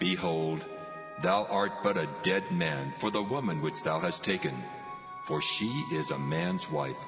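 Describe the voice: Over clear music in the background, a man uses a put-on character voice at a fairly low pitch, with vocal fry, big pitch swings and a fairly slow pace.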